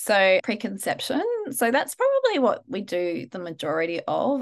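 Against a quiet background, a woman speaks with an Australian accent. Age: 40s. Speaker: Chinese medicine practitioner and acupuncturist. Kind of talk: interview.

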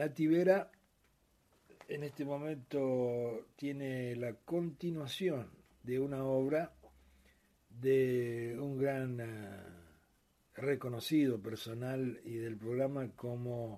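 A man talks at a very slow pace in a dark, mellow tone. He takes long, frequent pauses. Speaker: radio host. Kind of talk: radio sports show.

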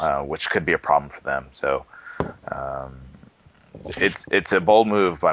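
Over noticeable background noise, a man speaks in a very deep, low voice with fairly even intonation. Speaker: tech podcast co-host. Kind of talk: casual chat. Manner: halting.

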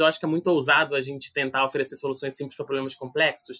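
Recorded with a dry, close sound and no echo, a man speaks in a bright, sharp tone. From Brazil, Rio de Janeiro (Vila do Vintém). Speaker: youth policy researcher. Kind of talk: podcast interview.

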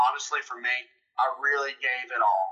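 A man speaks with a Mississippi accent. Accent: Southern US (Mississippi). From US South, Mississippi. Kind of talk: testimony. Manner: animated.

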